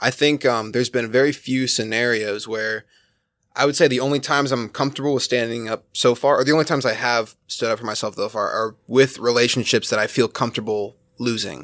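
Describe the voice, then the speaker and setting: In an American accent, a man speaks at a very fast pace with fairly even intonation. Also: very clean recording, silent background. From Arizona, US. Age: 20s. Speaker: video producer. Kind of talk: casual chat.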